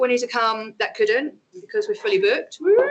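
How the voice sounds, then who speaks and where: Over noticeable background noise, a woman speaks at a high pitch and a fairly quick pace. Her pitch swings very widely. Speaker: event organiser. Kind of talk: event introduction. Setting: in-person talk with audience, recorded. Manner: casual, chatty.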